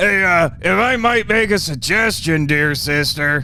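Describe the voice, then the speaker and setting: Putting on a character voice at a high pitch, a man speaks at a fairly slow pace with very even loudness over clear background noise. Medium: audio drama. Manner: eager, violent.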